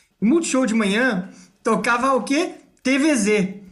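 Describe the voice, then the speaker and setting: With audible room echo, a man talks using ordinary pitch variation. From Brazil, Ibiúna (São Paulo state). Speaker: podcast co-host. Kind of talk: casual chat.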